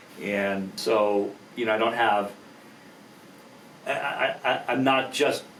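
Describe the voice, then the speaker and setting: A man speaks at a very slow pace with long, frequent pauses, a medium pitch and fairly even intonation, over noticeable background noise and audible room echo. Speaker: attorney and entrepreneur. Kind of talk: podcast interview. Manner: halting.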